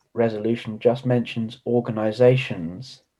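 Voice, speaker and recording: This man has a British accent and a dark, mellow tone. He talks at a fairly slow pace. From United Kingdom. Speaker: conference delegate. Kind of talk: meeting discussion.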